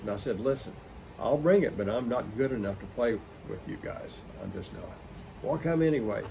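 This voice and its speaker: In an American accent, a man with a medium pitch talks at a fairly quick pace with lively intonation, long, frequent pauses, big swings in loudness and audible room echo. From Oklahoma, West Tulsa County. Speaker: musician and collector. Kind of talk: interview storytelling.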